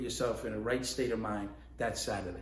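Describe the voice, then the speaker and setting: With a New York accent and vocal fry, a man talks at a fairly quick pace amid audible room echo. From New York, the Bronx. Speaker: ballroom dance instructor and competitor. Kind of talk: casual instructional talk. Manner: conversational, with many fillers.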